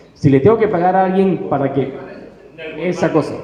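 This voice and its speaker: Over noticeable background noise and audible room echo, a man speaks at a very fast pace with ordinary pitch variation. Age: 60s. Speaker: self-published author. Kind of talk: panel talk. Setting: stage with audience.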